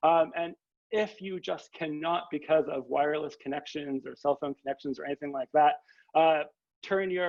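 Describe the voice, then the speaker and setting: A man's fairly high-pitched, an ordinary speaking voice, with a Canadian accent, moderate pace and ordinary pitch variation. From Canada. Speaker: history professor. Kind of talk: informal talk to new students. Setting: video call.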